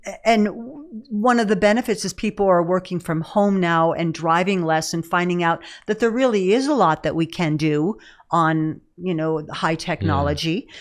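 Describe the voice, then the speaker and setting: A woman talks at a moderate pace with a fairly low pitch and ordinary pitch variation. The background is quiet. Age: 60s. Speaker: herbalist and nutrition author. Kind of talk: interview. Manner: halting.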